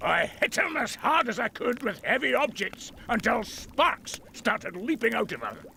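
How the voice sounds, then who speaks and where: Putting on a character voice at an extremely high pitch, a man talks at a moderate pace with hardly any pauses over clear background noise. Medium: video game. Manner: boisterous, swaggering.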